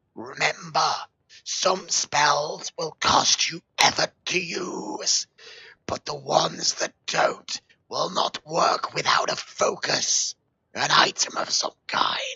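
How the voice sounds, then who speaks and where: Putting on a growling character voice, a man talks at a high pitch and a very slow pace. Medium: solo performance. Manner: distracted, tired.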